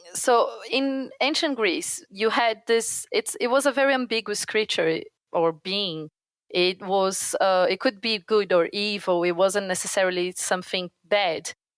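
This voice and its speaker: A woman with a slight Brazilian accent talks at a fairly slow pace and a medium pitch, with lively intonation and very even loudness, in a dry, close sound with no echo. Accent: light Brazilian accent in English. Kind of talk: explanatory, lecturing.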